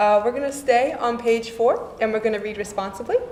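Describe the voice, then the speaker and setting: A woman's voice carries audible room echo, with noticeable background noise present too. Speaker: service leader. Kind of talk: religious service. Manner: fast.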